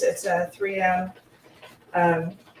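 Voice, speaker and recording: Noticeable background noise sits behind a woman's talking. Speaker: small yarn business owner. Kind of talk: tutorial. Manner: casual, with fillers.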